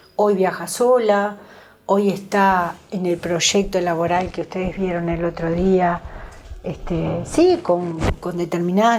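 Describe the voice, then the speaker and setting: Noticeable background noise is present. Over it, a woman talks with a medium-pitched voice. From Uruguay, Pando (Canelones). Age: 60s. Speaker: special education center worker. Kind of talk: interview.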